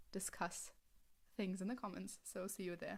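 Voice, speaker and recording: A woman's medium-pitched voice with a German accent. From Germany. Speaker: fanfiction writer reading own story. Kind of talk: reading aloud; casual chat.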